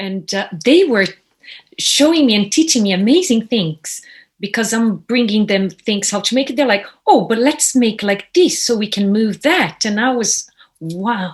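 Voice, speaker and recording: With a Brazilian accent, a woman talks at a fairly slow pace in a fairly high, somewhat breathy voice. Her intonation is lively. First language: Portuguese. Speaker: puppeteer, actress, voiceover artist. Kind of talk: casual interview chat.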